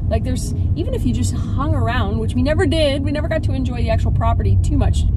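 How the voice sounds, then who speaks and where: The speech runs at a very fast pace over loud background noise, with a dry sound and no echo. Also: woman. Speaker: travel vlogger. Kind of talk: casual vlog chat. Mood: cheerful, wistful. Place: car. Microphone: phone near.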